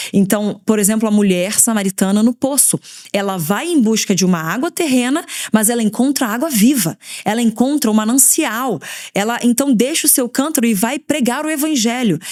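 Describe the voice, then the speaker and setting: Her voice is fairly high for a woman and animated in tone. The intonation is lively. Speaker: pastor and podcast host. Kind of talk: devotional teaching. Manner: fast.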